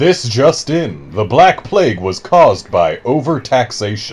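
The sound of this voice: Booming in a put-on character voice, a man swings very widely around a medium pitch at a fairly slow pace.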